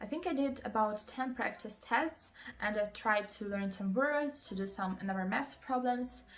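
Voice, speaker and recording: Speaking with a Russian accent, a woman keeps a moderate pace, a fairly high pitch and ordinary pitch variation. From Russia, Moscow. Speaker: student vlogger. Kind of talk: advice vlog. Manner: many fillers (um, like).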